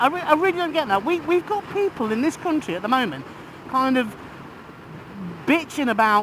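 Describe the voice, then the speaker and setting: A man speaks with an English accent and very wide pitch swings. Noticeable background noise runs underneath. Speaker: vlogger and healthcare professional. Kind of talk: opinion vlog. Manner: halting.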